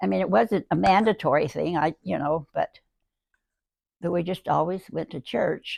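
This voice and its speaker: Fairly low-pitched woman's voice with vocal fry and very wide pitch swings. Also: moderate pace. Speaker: great-grandmother sharing life stories. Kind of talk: casual interview about memories. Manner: halting, with repetitions and fillers.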